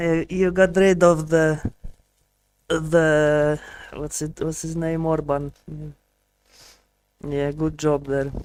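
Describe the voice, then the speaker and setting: A man with a Polish accent and a fairly high pitch, very slow and monotone, with flat intonation and long, frequent pauses. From Poland. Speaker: streamer learning Spanish. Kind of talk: casual live stream chat. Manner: halting, with repetitions and fillers.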